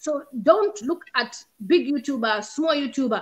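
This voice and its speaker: A woman's high-pitched voice makes very wide pitch swings over a quiet background. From Zambia. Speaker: YouTube content creator; guest. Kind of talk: casual chat. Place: home room. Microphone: video call.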